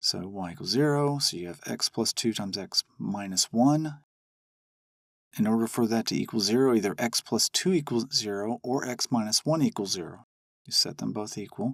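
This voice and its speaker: A man with a plain, everyday voice speaks at a medium pitch and a moderate pace with lively intonation, the very clean recording dry and close with no echo and a silent background. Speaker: math teacher. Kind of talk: tutorial.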